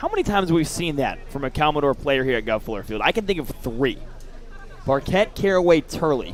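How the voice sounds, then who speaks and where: A man with an American accent speaks at a fairly quick pace in a fairly high pitch, his intonation lively. Music plays in the background. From US South. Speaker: baseball color commentator. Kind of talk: live commentary.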